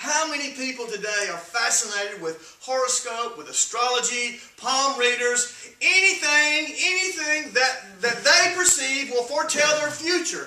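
Speaking at a fairly slow pace with lively intonation, a man uses an extremely high pitch and a bright, sharp tone amid strong room echo.

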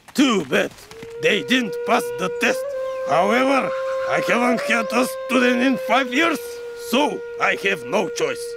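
A man's cartoonish character voice, extremely high-pitched, at a fairly slow pace with long, frequent pauses and loud music in the background. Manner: scheming, pompous, mock-wise.

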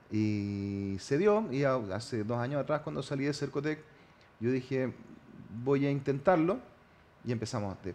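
Speaking with a Chilean accent, a man keeps a fairly slow pace and lively intonation, broken by long, frequent pauses. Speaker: mayor-elect. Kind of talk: TV interview. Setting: TV studio.

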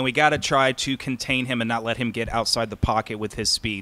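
With a medium pitch and a bright, sharp tone, a man speaks at a fairly quick pace using fairly even intonation. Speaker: sports podcast co-host. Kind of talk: casual sports chat. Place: home room. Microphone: studio mic.

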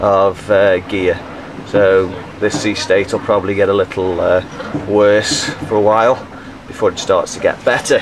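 A man speaks at a moderate pace in a fairly low, monotone voice, with noticeable background noise behind him. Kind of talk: casual travel narration. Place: boat. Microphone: phone near.

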